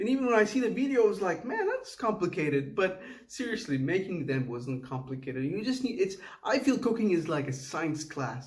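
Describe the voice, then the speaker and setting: A man with a Tamil accent, fairly quick and high-pitched, with very wide pitch swings and audible room echo. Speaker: home cook video creator. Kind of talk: casual cooking vlog voiceover. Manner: halting, with false starts.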